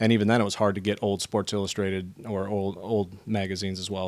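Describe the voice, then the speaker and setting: A man uses an ordinary speaking voice at a fairly quick pace, with a fairly low pitch and fairly even intonation. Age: 30s. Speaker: sneaker historian. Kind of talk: casual chat.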